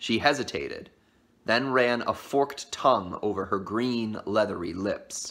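Pitch variation here is ordinary. The voice is a natural reading voice.

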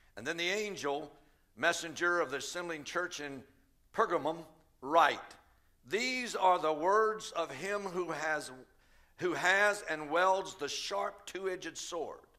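A man with a bright, sharp tone and ordinary pitch variation speaks at a fairly slow pace with long, frequent pauses against a quiet background. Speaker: pastor preaching. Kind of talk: sermon. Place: church. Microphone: headset.

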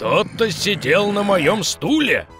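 Growling in a put-on character voice, the speaker moves at a fairly slow pace over clear background music. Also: man. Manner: scary.

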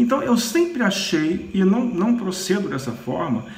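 With a Brazilian accent, a man speaks at a fairly slow pace, with audible room echo and light background noise. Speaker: Candomblé priest. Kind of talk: religious teaching monologue. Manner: hesitant, with many fillers. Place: home room. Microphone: phone near.

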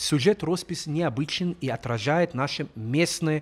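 A man with a normal speaking voice, fairly high in pitch, at a fairly slow pace, in a very clean recording with a silent background. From Jerusalem. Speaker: local Orthodox guide. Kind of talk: documentary commentary.

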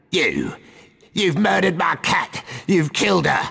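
A man does a put-on character voice, growling throughout. He delivers it at a fairly slow pace. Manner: screeching, accusing.

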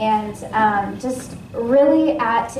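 A woman is heard with audible room echo. Light background noise runs underneath. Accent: American. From US Pacific Northwest, Washington State. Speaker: ministry intake coordinator giving a sermon; guest. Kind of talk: sermon. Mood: earnest, personal. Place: church.

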